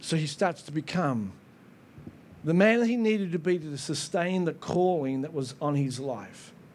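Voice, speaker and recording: The room gives off a noticeable echo. The intonation is lively. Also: man, fairly high pitch for a man, moderate pace. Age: 50s. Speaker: pastor. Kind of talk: sermon. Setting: church. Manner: animated.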